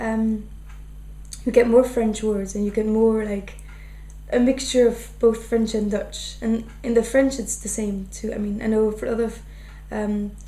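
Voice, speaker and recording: Against noticeable background noise, a fairly high-pitched woman speaks at a fairly slow pace in a flat monotone, with long, frequent pauses. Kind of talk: interview answer.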